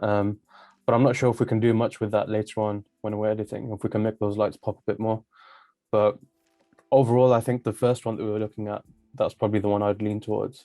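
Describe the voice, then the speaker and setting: A man's fairly low voice, very fast and flat in a monotone, dry and close with no echo, over background music. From Birmingham, England. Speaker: YouTuber, design client. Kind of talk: casual chat.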